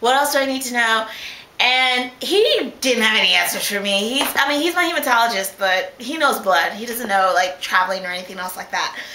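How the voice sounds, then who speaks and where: Amid noticeable background noise and audible room echo, a woman speaks fairly quickly with lively intonation and a fairly high pitch. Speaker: vlogger with sickle cell disease. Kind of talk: casual video blog. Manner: fast.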